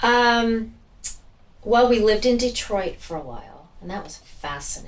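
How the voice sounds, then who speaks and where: The speaker uses an ordinary speaking voice at a moderate pace with ordinary pitch variation. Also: woman, fairly high pitch for a woman. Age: 60s. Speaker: florist and flower farmer. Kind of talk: interview answer. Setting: room microphones.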